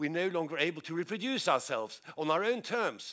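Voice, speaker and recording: On a very clean recording with a silent background, a man talks fairly quickly at a high pitch with lively intonation. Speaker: professor. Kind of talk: conference talk. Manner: fast; halting with repetitions.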